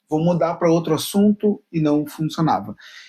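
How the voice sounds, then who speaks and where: A man with a normal speaking voice, fairly high pitch, ordinary pitch variation and a moderate pace. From Paraná, southern Brazil. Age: 30s. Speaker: YouTuber, journalism student. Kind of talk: casual vlog monologue.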